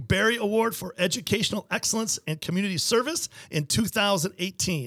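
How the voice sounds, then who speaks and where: An enthusiastic man at a moderate pace with lively intonation, dry and close with no echo. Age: 50s. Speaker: podcast host, wealth management founder. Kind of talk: interview.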